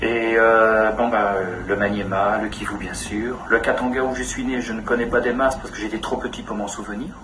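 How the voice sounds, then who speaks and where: A man talks with hardly any pauses in a monotone, flat intonation. Noticeable background noise and audible room echo come through. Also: medium pitch for a man, moderate pace. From Congo (DRC), then Belgium. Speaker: charity founder. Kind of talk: interview testimony. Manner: halting with hesitations.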